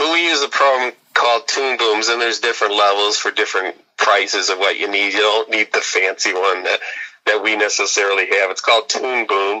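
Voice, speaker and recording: A man talks at a fairly quick pace with a fairly low pitch. He has a plain, everyday voice. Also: ordinary pitch variation. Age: 60s. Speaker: animator and singer-songwriter. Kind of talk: interview.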